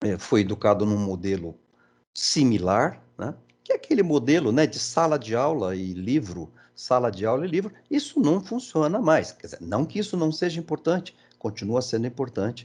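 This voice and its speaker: This man's voice swings very widely in pitch. He talks at a moderate pace from a medium pitch. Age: 60s. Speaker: engineering education speaker. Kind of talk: presentation. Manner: halting, many fillers.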